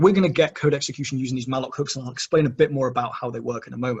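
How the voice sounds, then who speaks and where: This man's pitch sits in the medium range. A somewhat breathy quality runs through his voice. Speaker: security trainer. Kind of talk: technical workshop. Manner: fast.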